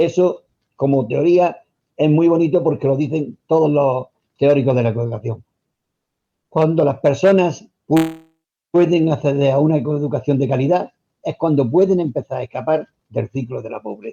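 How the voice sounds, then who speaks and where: A man's dark, mellow tone at a fairly high pitch, with ordinary pitch variation, a moderate pace, long, frequent pauses, and a dry, close sound with no echo. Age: 60s. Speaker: retired teacher. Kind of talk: radio interview. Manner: formal.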